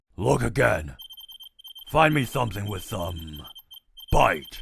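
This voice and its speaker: Putting on a character voice, a man talks at a fairly slow pace in a raspy, fairly low voice. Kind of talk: comic dub, multiple character voices. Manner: gruff, demanding.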